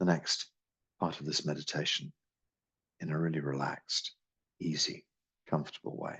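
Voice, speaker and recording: In a calm tone, a man with a very deep, low pitch speaks with fairly even intonation and long, frequent pauses. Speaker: qigong teacher. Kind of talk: guided meditation. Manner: slow, calm.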